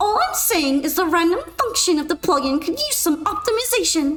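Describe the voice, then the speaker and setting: Put-on character voice from a woman at an extremely high pitch and a moderate pace, with faint music in the background. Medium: virtual streamer. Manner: haughty, defensive.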